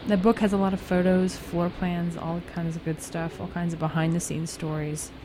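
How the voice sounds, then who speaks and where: Over noticeable background noise, a woman with a fairly low pitch talks at a moderate pace in a relaxed, enthusiastic tone. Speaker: radio DJ. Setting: radio studio. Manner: relaxed, meandering and self-deprecating, with casual um's and restarts; warmly enthusiastic fan tone.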